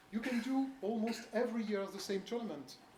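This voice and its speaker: With a French accent, the speaker talks at a moderate pace against noticeable background noise. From France. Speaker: bridge federation official presenting at coach seminar. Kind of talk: seminar presentation. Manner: halting, many fillers.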